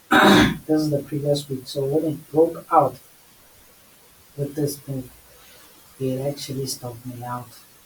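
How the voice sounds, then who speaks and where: A man speaks in a fairly high pitch with monotone, flat intonation. Long, frequent pauses break his speech over noticeable background noise. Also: fairly slow pace. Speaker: forex trader. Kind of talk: trading tutorial screen recording.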